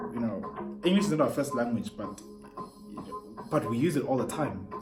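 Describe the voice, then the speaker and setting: A man speaks at a moderate pace in an animated tone, his pitch swinging very widely. Music plays in the background, and the room echo is audible. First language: not English. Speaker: YouTuber. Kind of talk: rant vlog.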